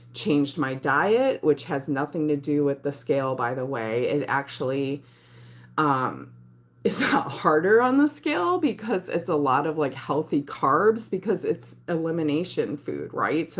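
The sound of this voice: A woman speaks in a put-on character voice, raspy and very deep in pitch. Her pace is moderate. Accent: Michigan.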